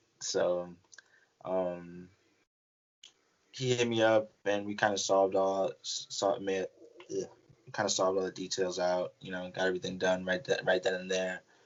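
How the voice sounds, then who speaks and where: A man's very deep, low voice with an American accent, at a moderate pace broken by long, frequent pauses. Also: fairly even intonation. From New York. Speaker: college wrestler. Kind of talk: casual interview. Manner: halting, many fillers.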